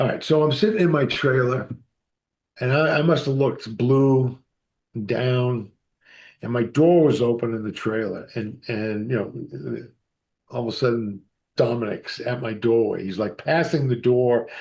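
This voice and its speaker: A man with an American accent at a medium pitch and moderate pace, with ordinary pitch variation and long, frequent pauses. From Massachusetts, US. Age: 60s. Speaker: actor and author. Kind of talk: interview storytelling.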